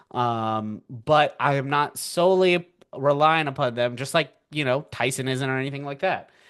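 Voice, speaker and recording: This is an unremarkable speaking voice at a moderate pace with ordinary pitch variation. The background is quiet. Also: man, fairly high pitch for a man. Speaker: financial markets educator. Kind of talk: live webinar presentation. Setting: webinar from home. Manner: casual, filler-heavy.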